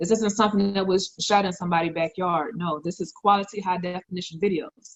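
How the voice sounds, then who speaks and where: At a very fast pace, a woman talks in a somewhat breathy voice. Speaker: forex trading promoter. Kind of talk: sales pitch. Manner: animated.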